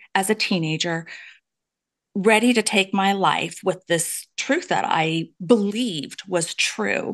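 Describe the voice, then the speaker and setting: A woman speaks in an ordinary speaking voice at medium pitch, at a fairly slow pace with ordinary pitch variation, against a quiet background. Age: 50s. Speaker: author and abuse survivor advocate. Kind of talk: interview testimony.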